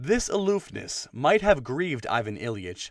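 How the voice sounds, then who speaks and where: A man with an ordinary speaking voice, medium pitch and lively intonation at a moderate pace, in a very clean recording with a silent background. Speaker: audiobook narrator. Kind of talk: dramatic audiobook narration.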